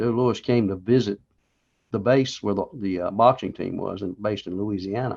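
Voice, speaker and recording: Fairly even intonation marks this man's speech, delivered with a North Carolina accent. His pitch sits fairly low. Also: moderate pace. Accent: Southern US (North Carolina). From US South, Charlotte, North Carolina. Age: 70s. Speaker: war veteran. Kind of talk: interview.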